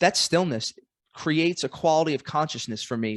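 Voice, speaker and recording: This man has a Brooklyn accent and a fairly high pitch with ordinary variation. The sound is dry and close with no echo against a quiet background. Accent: New York (Brooklyn). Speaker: podcast host. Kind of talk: casual chat. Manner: fast.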